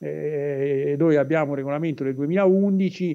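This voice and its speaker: Over a quiet background, a man speaks with a dark, mellow tone at a fairly high pitch. His intonation stays fairly even. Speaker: professor. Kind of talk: interview on economics. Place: home room. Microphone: video call.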